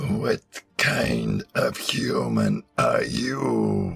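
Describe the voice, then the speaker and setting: Faint music plays behind a man doing a put-on character voice that is raspy and guttural. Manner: menacing.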